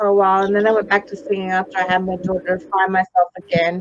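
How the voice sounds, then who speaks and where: Noticeable background noise sits behind a woman speaking with an Australian accent. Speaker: psychic medium. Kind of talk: interview. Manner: animated.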